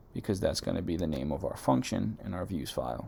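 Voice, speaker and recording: A man's voice with vocal fry. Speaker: coding tutorial youtuber. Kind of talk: tutorial. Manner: casual, filler-heavy.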